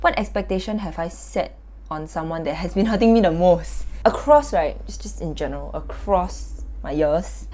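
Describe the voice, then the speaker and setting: A woman speaks in a Singaporean accent with noticeable background noise. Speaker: youtuber. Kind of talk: self-reflective vlog monologue. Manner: loud; casual, filler-heavy.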